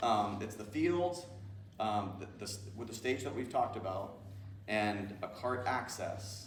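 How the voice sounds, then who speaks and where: The voice moves at a fairly slow pace with ordinary pitch variation, set against audible room echo and noticeable background noise. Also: man, fairly low pitch for a man. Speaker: college president. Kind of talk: community Q&A meeting. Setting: public meeting with audience. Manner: hesitant, many fillers.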